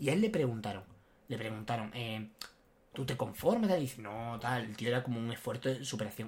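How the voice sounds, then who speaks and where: A man speaks somewhat breathily with lively intonation. His pace is moderate. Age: 20s. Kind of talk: casual chat. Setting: studio, sitting side by side.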